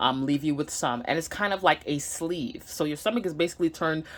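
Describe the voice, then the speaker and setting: Against a very clean recording with a silent background, a woman with a slight Nigerian accent speaks at a very deep, low pitch with lively intonation. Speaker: vlogger. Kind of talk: personal vlog. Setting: home, sitting down to camera. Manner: halting, many fillers.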